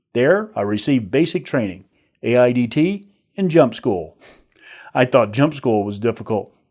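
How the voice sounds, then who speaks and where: A man with an American accent talks at a moderate pace and medium pitch, his pitch swinging very widely. The recording is very clean, with a silent background. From US South, northern Alabama. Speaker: online course instructor, army veteran. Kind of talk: recorded course introduction.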